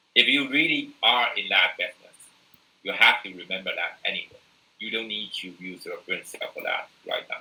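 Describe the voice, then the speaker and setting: Moderate pace in a Taiwanese accent. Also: man. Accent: non-native English, Taiwanese Mandarin. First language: Mandarin. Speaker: university lecturer. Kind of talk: lecture. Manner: halting, many fillers.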